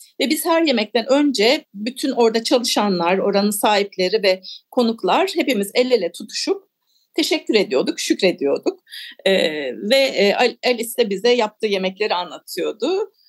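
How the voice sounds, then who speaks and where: A woman's fairly high voice with very wide pitch swings and a moderate pace, dry and close with no echo. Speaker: author. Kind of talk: radio interview.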